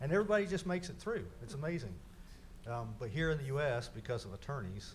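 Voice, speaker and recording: A man talks at a very fast pace with a fairly high, somewhat breathy voice. His pitch swings very wide, and there is audible room echo. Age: 60s. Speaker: city engineer presenting to council. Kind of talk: council meeting presentation. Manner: halting, repetitive.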